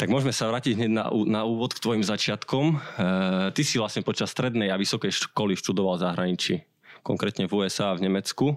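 A man with a plain, everyday voice speaks at a fairly quick pace and fairly low pitch, with ordinary pitch variation, on a very clean recording against a silent background. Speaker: podcast host. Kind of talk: interview; scripted intro.

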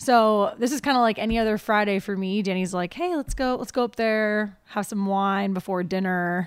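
With an American accent, a woman speaks in a plain, everyday voice at a medium pitch and moderate pace, with ordinary pitch variation. The recording is very clean, the background silent. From Ohio. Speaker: winery hospitality manager. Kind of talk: casual chat.

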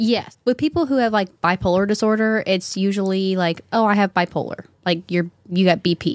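A woman with a plain, everyday voice talks at a fairly quick pace in a medium pitch, with ordinary pitch variation. Her loudness stays very even, and the sound is dry and close with no echo. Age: 20s. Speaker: young mother with borderline personality disorder. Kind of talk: casual chat. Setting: studio.

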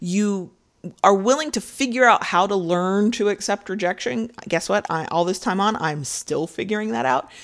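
Against a quiet background, a woman speaks in a normal speaking voice. Her pitch is medium and her pace moderate. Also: lively intonation. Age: 30s. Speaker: podcast host and freelance sex writer. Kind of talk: solo podcast monologue. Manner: casual, with fillers and restarts.

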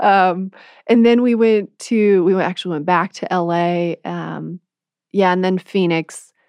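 Here is a woman with an unremarkable speaking voice, pitched in the middle range. She talks fairly slowly, keeping her intonation fairly even. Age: 20s. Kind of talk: faith testimony in conversation.

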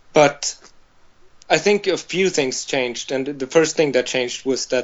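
A man with a Swedish accent. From Sweden, Malmö. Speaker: vegan farmer. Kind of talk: interview. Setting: call.

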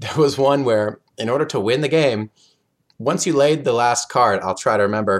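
A plain, everyday voice from a man with an American accent, medium pitch, ordinary pitch variation and a moderate pace. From US, Oklahoma. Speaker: board game designer. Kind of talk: interview, casual chat.

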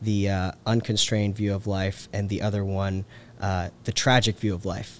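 A fairly low male voice in a monotone, flat intonation at a moderate pace. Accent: American. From US South, Georgia (Carrollton). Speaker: policy researcher. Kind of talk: casual interview. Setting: on-site recording.

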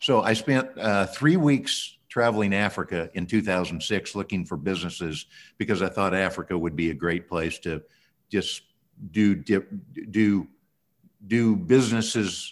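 A man speaks at a moderate pace in a plain, everyday voice. His pitch is fairly low, with ordinary variation. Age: 60s. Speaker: businessman. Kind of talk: interview.

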